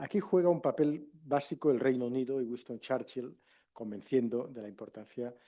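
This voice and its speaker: At a moderate pace and medium pitch, a man with a Catalan accent speaks with ordinary pitch variation and big swings in loudness. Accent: Catalan-accented Castilian Spanish. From Catalonia, Spain. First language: Catalan (speaking Spanish). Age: 50s. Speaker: former politician and international relations professor. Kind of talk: lecture.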